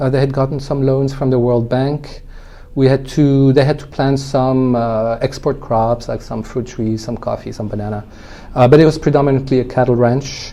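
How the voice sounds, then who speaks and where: Over noticeable background noise, a man at a medium pitch speaks at a moderate pace with monotone, flat intonation. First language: French. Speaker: winemaker. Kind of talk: interview conversation. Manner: hesitant, many fillers.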